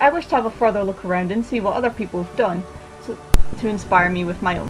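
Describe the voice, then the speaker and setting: A woman mumbles with music in the background. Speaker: art student. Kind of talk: scripted vlog narration. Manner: mumbling.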